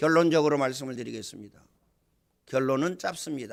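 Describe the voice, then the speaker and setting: In a very clean recording with a silent background, a man uses a raised, projected voice with a bright, sharp tone. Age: 60s. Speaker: pastor. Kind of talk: sermon. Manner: animated.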